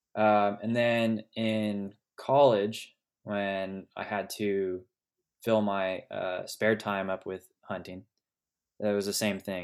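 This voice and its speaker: In a very clean recording with a silent background, a man with an American accent speaks very slowly at a fairly low pitch with monotone, flat intonation. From Sonoma Valley, California. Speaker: hunter and founder of a hunting organization. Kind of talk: casual interview chat.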